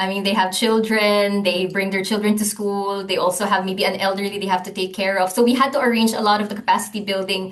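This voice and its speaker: A woman speaks at a medium pitch with a Filipino accent. Audible room echo is present. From Philippines, Manila. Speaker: gender and climate programme coordinator. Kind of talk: podcast interview. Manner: halting, many fillers and restarts.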